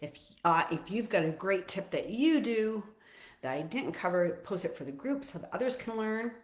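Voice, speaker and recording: Loud and at a moderate pace, a woman speaks at a fairly high pitch with very wide pitch swings. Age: 60s. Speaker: fitness and nutrition coach. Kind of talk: casual livestream talk. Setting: social media live stream.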